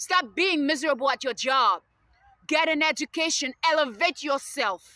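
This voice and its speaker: A woman's raised, projected voice, high in pitch and bright and sharp in tone, at a moderate pace with a dry, close sound and no echo. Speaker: student and video blogger. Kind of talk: personal rant to camera. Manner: halting with many fillers; agitated.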